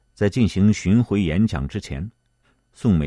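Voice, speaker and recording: A man speaks at a moderate pace with a fairly low pitch and a dark, mellow tone, his pitch swinging very widely. The sound is dry and close with no echo, and the background is quiet. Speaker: podcast narrator. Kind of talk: scripted history documentary narration, read aloud in a solemn, measured tone. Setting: studio. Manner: steady, even-paced and formal, clearly enunciated; lifts slightly for quoted lines.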